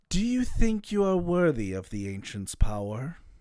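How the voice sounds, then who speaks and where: Using a put-on character voice, a man speaks at a moderate pace with very wide pitch swings. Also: fairly high pitch for a man, big swings in loudness. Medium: actual play. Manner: cryptic, questioning.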